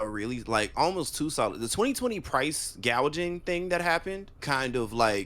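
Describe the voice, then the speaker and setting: Loud and barely pausing, a man with a fairly high pitch speaks at a moderate pace, his pitch swinging very widely. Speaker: podcast co-host. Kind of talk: casual chat.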